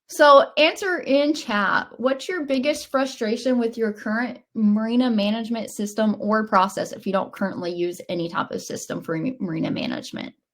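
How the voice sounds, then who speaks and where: With a Southern US accent, a woman speaks at a fairly high pitch and a moderate pace. Her intonation is lively, and she takes hardly any pauses. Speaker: software company webinar presenter. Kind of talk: webinar presentation. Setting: online webinar.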